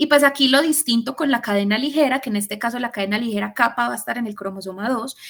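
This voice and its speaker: This woman talks at a fairly quick pace. Her pitch is fairly high, with ordinary variation. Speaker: student tutor. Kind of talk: lecture. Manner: fast.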